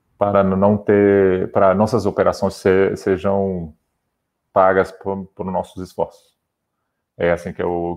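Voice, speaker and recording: Against a quiet background, a man with a slight non-native accent speaks at a fairly slow pace and very deep, low pitch. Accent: slight foreign accent in Portuguese. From Brazil. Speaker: sports federation digital head. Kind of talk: interview. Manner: halting, many repetitions.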